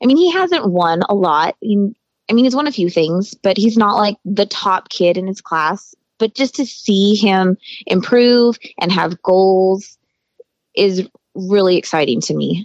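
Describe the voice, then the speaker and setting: A woman with an American accent and an unremarkable speaking voice talks at a medium pitch with ordinary pitch variation, the sound dry and close with no echo. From Colorado and southern California high desert. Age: 40s. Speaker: motocross mom. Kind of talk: casual interview.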